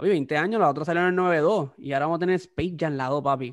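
High-pitched man with a Puerto Rican accent and ordinary pitch variation. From Puerto Rico. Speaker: podcast host. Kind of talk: casual chat. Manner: animated.

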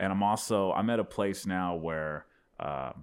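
The recording is very clean with a silent background, capturing a man in an American accent. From Texas. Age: 30s. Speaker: stand-up comedian. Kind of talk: casual chat. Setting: studio. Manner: halting.

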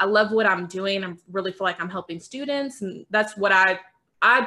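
A woman speaks at a fairly quick pace with a medium pitch. Her tone is bright and sharp. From Louisville, Kentucky. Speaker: realtor and podcast co-host. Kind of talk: casual chat.

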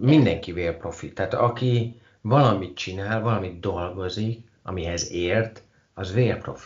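A man's fairly low voice, somewhat breathy, at a fairly slow pace with ordinary pitch variation. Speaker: podcast host. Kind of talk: casual interview. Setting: Skype call.

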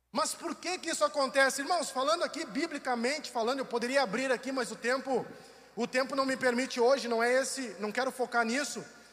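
Against noticeable background noise, a man with an extremely high-pitched voice talks at a fairly quick pace with ordinary pitch variation. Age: 40s. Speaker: pastor. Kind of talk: sermon. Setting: online livestream from church building.

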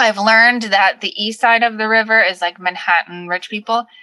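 Bright and sharp in tone, a woman's voice comes through dry and close with no echo. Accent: Long Island. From Long Island, New York. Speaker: vintage shop owner. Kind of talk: casual chat.

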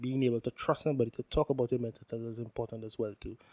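A man talking at a very fast pace, dry and close with no echo. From Trinidad and Tobago. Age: 30s. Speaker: podcast host, health and safety worker. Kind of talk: solo podcast monologue. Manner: hesitant, many fillers.

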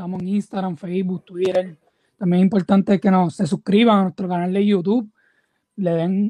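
A dark, mellow tone at a moderate pace, fairly even intonation, a quiet background, and a dry, close sound with no echo. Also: man. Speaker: sports podcast co-host. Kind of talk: casual interview.

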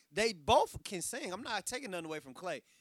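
With an American accent, a man speaks at a high pitch and a fairly quick pace, his pitch swinging very widely. The recording is very clean, with a silent background. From Texas. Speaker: clothing designer. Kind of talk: casual chat.

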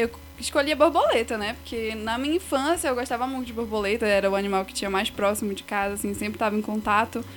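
Here is an unremarkable speaking voice with ordinary pitch variation. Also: woman. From Pará, Brazil (Igarapé-Açu). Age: 20s. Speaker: biology student. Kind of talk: podcast interview.

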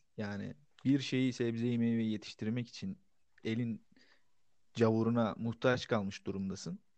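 With ordinary pitch variation at a medium pitch, a man talks fairly slowly and leaves long, frequent pauses. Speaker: podcast co-host. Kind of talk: casual chat. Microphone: distant, too far from mic.

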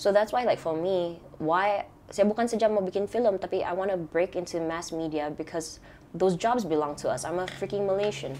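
Here a woman speaks at a fairly quick pace with medium pitch. Her tone is dark and mellow. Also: ordinary pitch variation. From Sabah, Malaysia. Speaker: filmmaker.

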